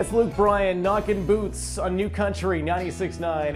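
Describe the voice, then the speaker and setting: With music in the background, a man talks at a moderate pace in an excited, upbeat tone. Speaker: radio on-air host and music director. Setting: radio studio. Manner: excited, upbeat, a little loud on-air delivery.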